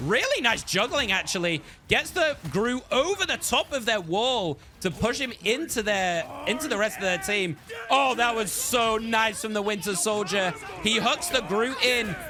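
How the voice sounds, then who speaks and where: Over noticeable background noise, a man with a high pitch speaks in a raised, projected voice and an excited, energetic tone. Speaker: esports shoutcaster. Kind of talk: play-by-play shoutcast. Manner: fast, excited, energetic.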